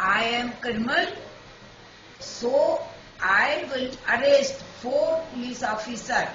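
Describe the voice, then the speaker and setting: Speech comes at a very slow pace. Noticeable background noise can be heard throughout. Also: woman. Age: 70s. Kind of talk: personal testimony to camera.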